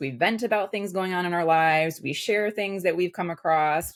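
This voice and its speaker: The speaker has a Midwestern American accent and an upbeat tone at a fairly quick pace. The recording is very clean with a silent background. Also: woman. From US Midwest. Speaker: podcast host, clinical psychologist. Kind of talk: casual chat.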